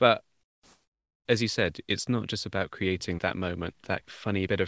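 Very deep, low male voice at a fairly quick pace, the sound dry and close with no echo. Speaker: podcast host. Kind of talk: interview conversation. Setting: video call.

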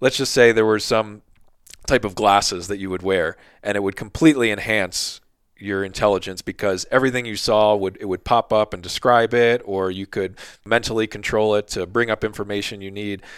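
Using an ordinary speaking voice, a man with an American accent talks at a fairly quick pace, fairly low in pitch and fairly even in intonation. The recording is very clean with a silent background and a dry, close sound with no echo. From Philadelphia / South Jersey. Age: 30s. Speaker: podcast host and outdoor gear writer. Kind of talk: casual interview chat.

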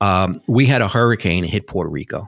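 A man with a New York accent speaks at a fairly quick pace with ordinary pitch variation. The recording is very clean, with a silent background. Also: dry, close sound with no echo. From New York City. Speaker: broadband policy expert. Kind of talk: interview. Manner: halting, hesitant.

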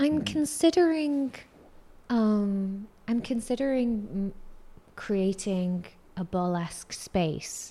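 A woman's fairly high, somewhat breathy voice with a dark, mellow tone and very wide pitch swings, at a very slow pace with long, frequent pauses. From Singapore. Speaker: burlesque performer and reality show cast member. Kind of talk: casual interview.

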